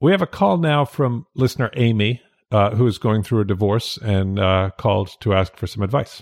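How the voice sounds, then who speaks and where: In a normal speaking voice, a man talks at a moderate pace with a fairly low pitch, ordinary pitch variation and very even loudness. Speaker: podcast host, editor. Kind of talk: casual chat. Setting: home recording in dining room, alone.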